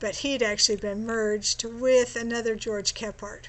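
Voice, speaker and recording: A woman has an unremarkable speaking voice at a fairly high pitch. Her pace is moderate and her intonation fairly even. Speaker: genealogy tutorial presenter. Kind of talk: screen-share tutorial. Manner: casual with fillers.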